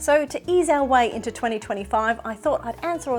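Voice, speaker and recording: A woman speaks fairly quickly. Behind her, music is playing. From Australia. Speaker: sewing vlogger. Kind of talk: casual talk to camera.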